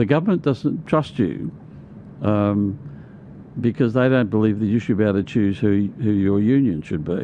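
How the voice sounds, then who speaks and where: In an Australian accent, the speaker uses lively intonation at a moderate pace, with very even loudness. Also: man, fairly low pitch for a man. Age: 70s. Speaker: conservative activist and union organiser. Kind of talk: casual interview chat. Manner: halting, repetitive.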